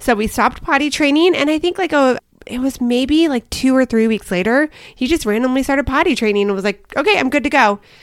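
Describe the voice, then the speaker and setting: Loud and high-pitched, a woman races along at a very fast pace with lively intonation. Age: 40s. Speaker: parenting podcast co-host. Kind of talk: casual chat.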